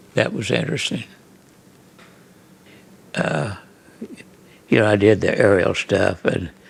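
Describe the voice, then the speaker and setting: Speaking at a fairly slow pace with long, frequent pauses, a man with an American accent uses a fairly low pitch and ordinary pitch variation over noticeable background noise. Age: 90s. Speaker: photographer. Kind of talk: interview answer. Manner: hesitant, halting.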